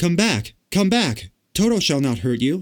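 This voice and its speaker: A man uses a put-on character voice pitched high. He talks at a moderate pace with very wide pitch swings. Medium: read story.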